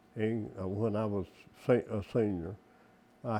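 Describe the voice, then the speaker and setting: A man speaks with a Southern US accent and a dark, mellow tone. His pace is very slow, with ordinary pitch variation. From Mississippi. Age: 80s+. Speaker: oral history interviewee. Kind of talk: interview answer.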